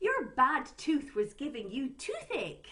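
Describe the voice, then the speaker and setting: A woman's put-on character voice, high-pitched, at a fairly slow pace. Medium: read story.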